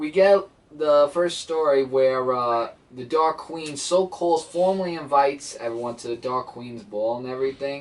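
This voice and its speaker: A man with a Brooklyn accent talks at a moderate pace in a fairly high voice. His intonation is lively. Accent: Brooklyn, New York. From Brooklyn, New York.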